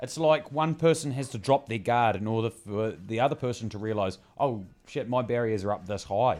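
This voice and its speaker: A man speaking at a fairly quick pace with a New Zealand accent. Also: medium pitch for a man, ordinary pitch variation. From Bluff, New Zealand. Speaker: podcast co-host. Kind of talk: casual comedic chat.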